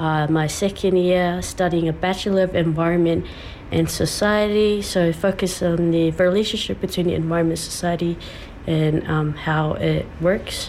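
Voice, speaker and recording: A woman with a Samoan accent speaks at a moderate pace, her fairly low voice monotone and flat, her loudness very even, over noticeable background noise.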